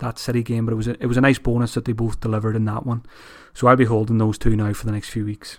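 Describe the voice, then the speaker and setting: A man with an Irish accent speaks very fast at medium pitch, his intonation monotone and flat. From Ireland. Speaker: fantasy football podcaster. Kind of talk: solo monologue analysis. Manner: casual, many fillers.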